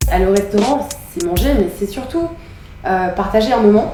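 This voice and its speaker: Amid noticeable background noise and audible room echo, a woman speaks at a moderate pace with a medium pitch. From France, Paris. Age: 20s. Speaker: startup founder and CEO. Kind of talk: casual documentary interview. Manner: hesitant, many filler sounds.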